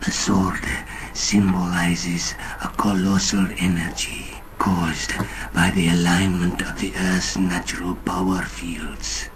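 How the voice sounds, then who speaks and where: A man puts on a character voice, very deep and low, speaking at a fairly slow pace over noticeable background noise. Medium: video game. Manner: solemn, cryptic.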